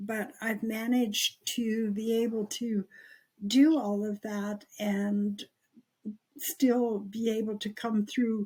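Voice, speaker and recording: A woman talks at a very slow pace in a fairly high, somewhat breathy voice with a dark, mellow tone and fairly even intonation. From Canada, Cree First Nation in Alberta. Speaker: Cree Elder, nurse and activist. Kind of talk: interview answer.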